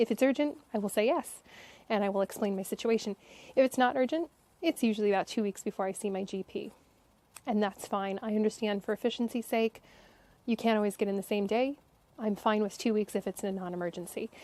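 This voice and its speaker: Speaking very fast with an American accent, a woman has a fairly high pitch, ordinary pitch variation, and a dark, mellow tone, the sound dry and close with no echo. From United States. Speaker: vlogger, expat patient with chronic illness. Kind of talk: casual talk to camera.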